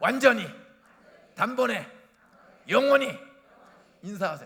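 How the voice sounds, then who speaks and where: A man speaks in an animated tone with an extremely high pitch, very wide pitch swings and a raised, projected voice, with audible room echo. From South Korea, Bucheon/Incheon area. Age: 70s. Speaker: retired pastor. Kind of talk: sermon. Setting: church.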